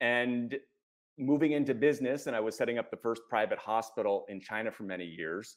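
A man with an American accent talks at a fairly quick pace in a plain, everyday voice, his intonation lively against a quiet background. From United States. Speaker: executive coach and author; executive coach. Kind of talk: interview. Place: home room. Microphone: earbuds.

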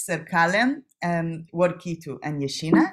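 Against a quiet background, a woman with an Israeli accent speaks at a fairly low pitch with ordinary pitch variation. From Israel, Jerusalem. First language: Hebrew. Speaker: PhD student and discussion leader. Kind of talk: lecture. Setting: video call. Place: home room. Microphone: webcam.

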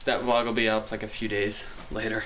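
With light background noise behind him, a man with a plain, everyday voice talks at a fairly low pitch and a fairly quick pace. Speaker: vlogger. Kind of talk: casual vlog chat. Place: home room. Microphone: phone near.

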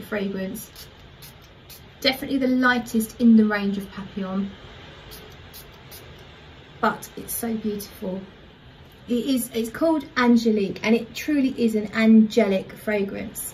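A woman at a moderate pace, with fairly even intonation, long, frequent pauses and light background noise. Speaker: perfume reviewer. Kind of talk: casual vlog chat. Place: home room. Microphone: phone near.

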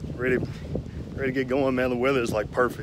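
Over noticeable background noise, a man's voice comes through dry with no echo. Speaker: cyclist vlogger. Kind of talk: casual vlog chat. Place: street. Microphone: phone near.

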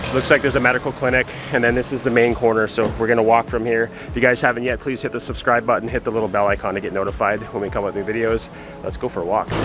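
Against music in the background, a man talks at a very fast pace with fairly even intonation and a dry sound with no echo. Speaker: travel vlogger. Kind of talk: casual vlog chat. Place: street. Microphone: phone near.

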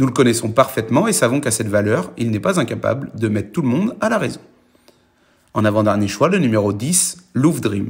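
The speaker's voice is somewhat breathy, moving at a fairly quick pace with lively intonation. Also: man, medium pitch for a man. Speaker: racing tipster. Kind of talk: scripted horse-racing tips read out in a steady presenter style. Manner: brisk, even and businesslike, running through the horses one by one.

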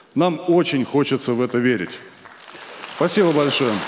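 The speaker goes at a moderate pace against light background noise. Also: man. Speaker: stand-up comedian. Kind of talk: satirical stand-up monologue. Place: stage. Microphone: handheld.

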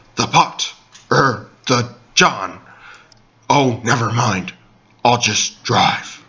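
A man's medium-pitched voice at a very slow pace, broken by long, frequent pauses. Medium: comedy sketch. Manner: gruff, deadpan, self-serious.

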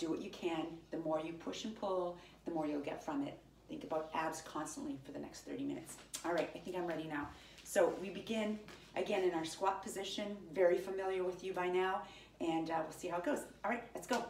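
With light background noise and audible room echo, a woman speaks fairly quickly in a fairly low voice. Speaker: fitness instructor. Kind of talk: workout instruction. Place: home room. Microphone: camera far.

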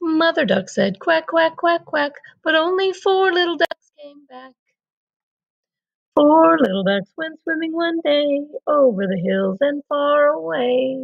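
A woman speaks at a high pitch and a fairly slow pace. Her loudness swings widely, and her pitch swings very widely too. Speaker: storyteller. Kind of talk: reading aloud.

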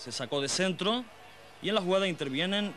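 A man's high-pitched voice with lively intonation. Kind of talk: 1990 football highlights narration. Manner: formal, brisk, measured newsreel-style delivery.

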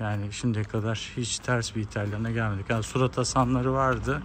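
There is noticeable background noise. A man with a fairly low pitch talks at a moderate pace. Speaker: travel vlogger. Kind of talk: casual vlog chat. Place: street. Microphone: phone near.

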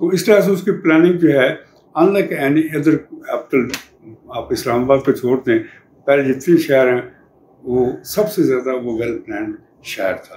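A man's fairly high voice moves with lively intonation and big swings in loudness, with audible room echo and light background noise. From Pakistan, Punjab. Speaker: retired museum director and archaeologist. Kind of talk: interview answer, oral history. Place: home room.

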